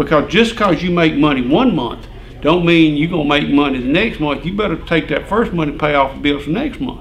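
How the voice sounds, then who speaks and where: Amid noticeable background noise and audible room echo, a man with an Alabama accent speaks quickly enough, at a fairly high pitch, with lively intonation. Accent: Southern US (Alabama). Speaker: retired farm equipment dealer. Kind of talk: casual chat.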